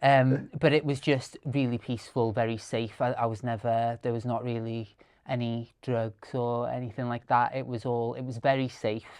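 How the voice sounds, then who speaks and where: Speaking in a Welsh accent, a man with medium pitch and monotone, flat intonation keeps a moderate pace with hardly any pauses against a quiet background. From rural Wales. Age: 30s. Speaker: content creator and storyteller. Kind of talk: podcast interview. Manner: halting, many fillers.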